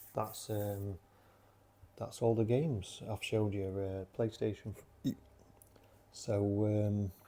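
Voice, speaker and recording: In a South Yorkshire accent, a man speaks at a fairly slow pace with a fairly low pitch. His dark, mellow tone is somewhat breathy, and his intonation is monotone and flat. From South Yorkshire, Sheffield. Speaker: vlogger. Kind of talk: casual vlog talk. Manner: rambling, hesitant with many fillers.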